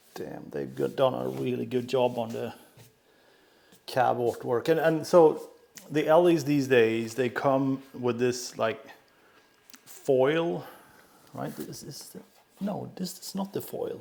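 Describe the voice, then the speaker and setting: A man speaks at a very slow pace, leaving long, frequent pauses. His loudness swings widely, with noticeable background noise behind him. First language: not English. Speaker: pinball streamer. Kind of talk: live stream unboxing commentary. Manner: casual, halting with many fillers.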